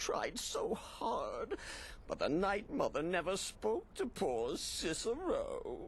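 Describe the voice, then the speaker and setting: Someone talks very slowly in a put-on character voice, with clear background noise behind them. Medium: video game. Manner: manic, sing-song, theatrical.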